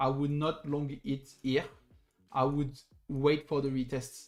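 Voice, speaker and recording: Over music in the background, a man with a French accent speaks in a flat, monotone way. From southern France. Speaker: crypto trader streamer. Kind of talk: live stream chart analysis. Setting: live stream.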